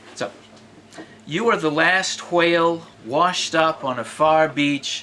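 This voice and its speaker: A man with an American accent talks at a very slow pace. Noticeable background noise is present. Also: ordinary pitch variation. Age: 60s. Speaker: poet. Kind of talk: casual talk between poems; poetry reading. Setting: live reading with audience. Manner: conversational, hesitant.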